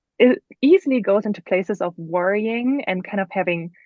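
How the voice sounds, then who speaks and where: A woman with a German accent speaks at a moderate pace and medium pitch, with ordinary pitch variation. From Germany. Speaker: author. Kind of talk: podcast interview. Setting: podcast.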